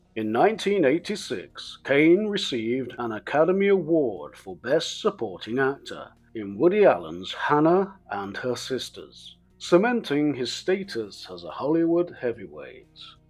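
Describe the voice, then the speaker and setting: Over background music, a man speaks fairly slowly with hardly any pauses at a fairly high pitch. His pitch swings very widely and his loudness rises and falls a lot. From England. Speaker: English teacher. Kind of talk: educational biography narration. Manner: clear, measured.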